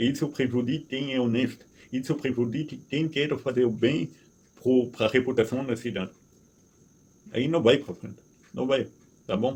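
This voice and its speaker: Somewhat breathy and medium in pitch, a man speaks with ordinary pitch variation and long, frequent pauses. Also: moderate pace. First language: not Portuguese (speaking Portuguese). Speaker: resident activist vlogger. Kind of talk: complaint monologue. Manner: halting, repeats words.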